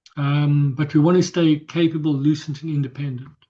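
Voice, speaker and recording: Against a quiet background, a man with a fairly high pitch speaks in a somewhat breathy voice with a dark, mellow tone. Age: 60s. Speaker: health coach workshop presenter. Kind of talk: workshop presentation. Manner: halting, repetitive.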